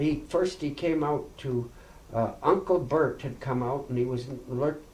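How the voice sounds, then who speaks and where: A fairly high-pitched man with a western Canadian accent, fairly even intonation and audible room echo. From Princeton, BC, Canada. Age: 70s. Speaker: oral history interviewee. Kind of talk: oral history interview. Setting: farmhouse. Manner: halting.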